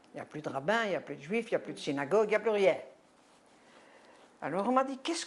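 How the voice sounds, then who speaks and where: Her voice sits at a medium pitch. This woman's pitch swings very widely. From Belgium, Brussels. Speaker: Holocaust survivor giving testimony. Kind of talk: testimony interview. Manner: halting.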